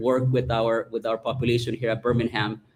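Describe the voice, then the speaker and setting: Speaking at a very fast pace, a man with a Salvadoran accent uses a medium pitch. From El Salvador. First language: Spanish. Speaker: school principal. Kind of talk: self-introduction at board meeting. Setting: meeting room with microphone.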